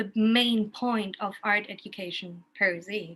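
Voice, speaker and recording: Against a quiet background, a woman with a German accent talks at a fairly high pitch with ordinary pitch variation. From Germany, Kassel. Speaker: art educator. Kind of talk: casual chat. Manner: halting.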